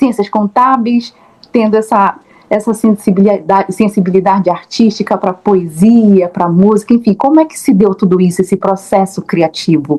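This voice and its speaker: The woman's voice sits at a medium pitch with ordinary pitch variation, delivered at a moderate pace. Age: 30s. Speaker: interviewer, teacher and actress. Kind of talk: interview. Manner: halting, many repetitions.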